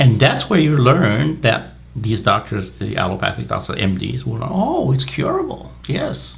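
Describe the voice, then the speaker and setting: Fairly slow speech with hardly any pauses, noticeable background noise and audible room echo. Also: man. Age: 60s. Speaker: medical doctor. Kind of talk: interview.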